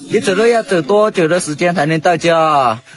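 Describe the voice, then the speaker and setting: Noticeable background noise sits behind a man with a high pitch. He talks at a moderate pace with lively intonation. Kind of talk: staged rural comedy skit.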